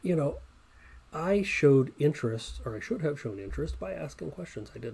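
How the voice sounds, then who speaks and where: A somewhat breathy man with a dark, mellow tone and a fairly high pitch talks at a fairly quick pace. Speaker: software developer and interviewer. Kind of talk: casual chat.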